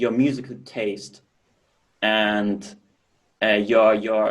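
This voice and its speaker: A man with a German accent talks at a very slow pace, leaving long, frequent pauses. His pitch is medium and his intonation monotone and flat. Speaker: professional drummer. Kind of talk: interview answers. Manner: halting.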